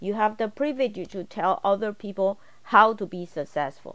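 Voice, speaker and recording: At a fairly slow pace, the voice shows ordinary pitch variation against a quiet background. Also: woman. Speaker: college instructor. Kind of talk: tutorial. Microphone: video call.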